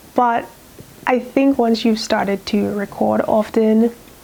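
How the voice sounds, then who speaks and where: A woman at a fairly high pitch, with noticeable background noise. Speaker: sewing youtuber. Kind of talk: casual chat. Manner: chatty, rambling.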